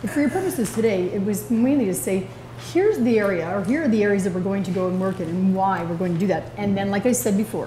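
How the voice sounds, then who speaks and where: A woman talks at a very fast pace with lively intonation and a medium pitch, amid noticeable background noise and audible room echo. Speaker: executive director of a sports association. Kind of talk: report speech at an annual general meeting. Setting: meeting room with audience.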